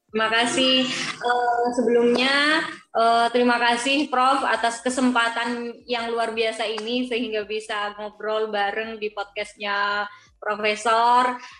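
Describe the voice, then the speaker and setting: Over noticeable background noise, a woman speaks very slowly in a monotone, flat intonation. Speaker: university student and guest. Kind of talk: interview answers. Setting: video call.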